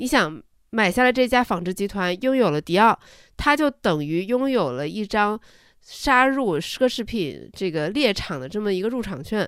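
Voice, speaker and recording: Her pitch swings very widely as this woman talks over a silent background in a very clean recording. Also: medium pitch for a woman, moderate pace. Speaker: podcast co-host. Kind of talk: casual business news chat.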